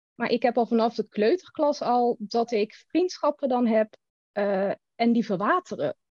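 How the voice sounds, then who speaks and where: A woman speaks at a fairly slow pace in an ordinary speaking voice. Her pitch is fairly high, with ordinary pitch variation and very even loudness. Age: 30s. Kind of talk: casual chat.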